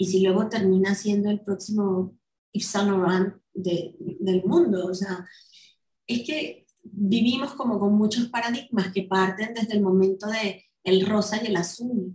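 A somewhat breathy, dark, mellow tone with ordinary pitch variation at a fairly slow pace. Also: woman, medium pitch for a woman. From Venezuela. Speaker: marketing executive. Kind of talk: interview conversation.

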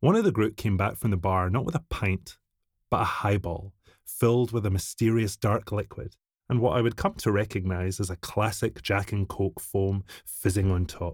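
Speaking with a Scottish accent and ordinary pitch variation, this voice comes through on a very clean recording with a silent background. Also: man, fairly low pitch for a man, moderate pace. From Scotland. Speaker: whiskey brand ambassador. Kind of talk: scripted narration. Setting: studio.

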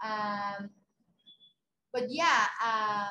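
A woman speaks with a Spanish accent in a bright, sharp tone. Her pace is very slow. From Mexico City. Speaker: runner and content creator. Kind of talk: interview. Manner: halting.

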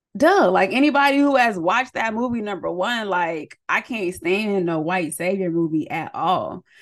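A woman with an American accent and medium pitch, animated in tone with lively intonation, at a moderate pace with hardly any pauses, over a quiet background. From US West Coast, San Diego County, California. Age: 30s. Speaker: podcast host, social worker. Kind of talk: casual solo monologue.

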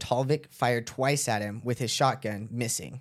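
Recorded very cleanly against a silent background, an ordinary speaking voice moves at a moderate pace with ordinary pitch variation. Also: man. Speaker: podcast host, narrates the case. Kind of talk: casual chat with storytelling.

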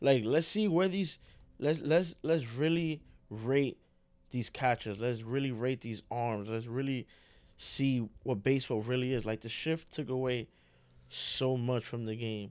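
On a very clean recording with a silent background, a man with a normal speaking voice talks at a fairly slow pace, medium pitch and ordinary pitch variation. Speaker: co-host. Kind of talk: casual sports talk chat.

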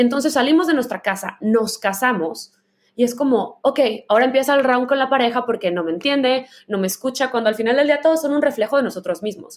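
A woman talks at a very fast pace with high pitch. Her intonation is lively. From Mexico, Guadalajara, Jalisco. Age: 30s. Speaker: podcast host. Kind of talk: casual chat.

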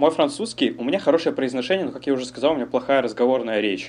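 Lively in intonation, a man speaks at a fairly high pitch. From Kazakhstan, Almaty. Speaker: podcast co-host, immigrant construction worker. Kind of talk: casual chat. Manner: animated.

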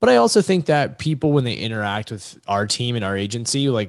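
A man with an American accent and an ordinary speaking voice talks at a fairly quick pace, his medium pitch shaped by lively intonation. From US South, Virginia Beach area. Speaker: sports agent and entrepreneur. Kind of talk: casual interview.

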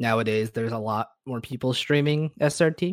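A man with an American accent speaks at a moderate pace, his pitch varying in an ordinary way. It is a plain, everyday voice, recorded with a dry, close sound and no echo. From US South. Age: 20s. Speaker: speedrunner and streamer. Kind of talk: casual chat.

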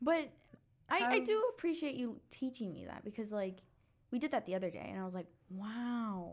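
A woman's fairly high, lively voice at a fairly quick pace, a plain, everyday voice. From Mexican-American, US. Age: 20s. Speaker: podcast co-host. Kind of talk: casual chat.

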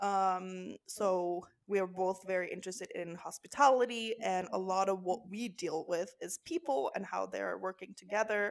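Speaking with a Norwegian accent, a woman talks at a medium pitch and moderate pace with ordinary pitch variation. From Norway. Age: 20s. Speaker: podcast co-host. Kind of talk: casual chat.

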